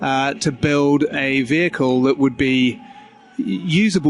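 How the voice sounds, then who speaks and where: Here a man with an English accent speaks at a fairly high pitch with ordinary variation. Noticeable background noise can be heard. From England. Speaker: car company spokesperson. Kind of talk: casual interview. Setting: auto show floor during setup.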